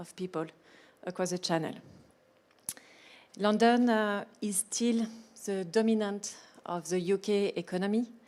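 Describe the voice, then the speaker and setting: On a very clean recording with a silent background, a woman with a strong French accent speaks at medium pitch and a fairly slow pace, with fairly even intonation and long, frequent pauses. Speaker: business panelist. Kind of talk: panel discussion.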